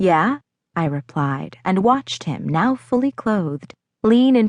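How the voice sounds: Against a quiet background, the voice reads in a natural way.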